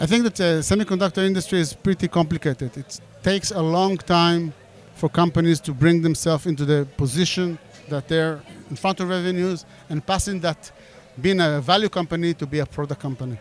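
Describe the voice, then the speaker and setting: The speaker talks at a fairly quick pace with an Israeli accent. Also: man, high pitch for a man, ordinary pitch variation. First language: Hebrew. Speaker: startup CEO. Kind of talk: interview. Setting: event in Tel Aviv. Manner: halting.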